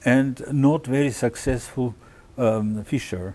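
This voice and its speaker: Very slowly, a man with a Russian accent speaks at a medium pitch in a dark, mellow tone with ordinary pitch variation. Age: 70s. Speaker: orchestra conductor. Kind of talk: interview. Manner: halting, many fillers.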